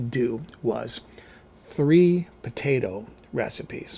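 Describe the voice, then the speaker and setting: Using lively intonation, a man speaks at medium pitch with vocal fry. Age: 60s. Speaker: cooking vlogger. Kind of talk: casual vlog monologue. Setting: seated in a rolling chair at home.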